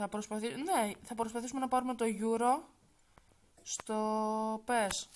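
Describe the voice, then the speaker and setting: A woman draws out her words at a very slow pace, her fairly high pitch showing ordinary pitch variation. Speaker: gaming YouTuber. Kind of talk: gameplay commentary. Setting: wearing headphones, recording at home. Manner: soft-spoken.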